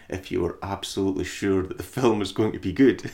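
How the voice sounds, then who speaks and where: A man talks at a fairly quick pace in a fairly low pitch. He has an ordinary speaking voice. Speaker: podcast host. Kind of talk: casual banter, film discussion. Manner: joking, laughs a lot, profane.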